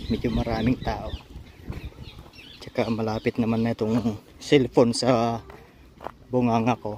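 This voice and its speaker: Pausing often and at length, a man speaks slowly at a medium pitch in a monotone, flat intonation. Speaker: vlogger. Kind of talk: casual vlog narration. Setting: outdoors, walking in a park.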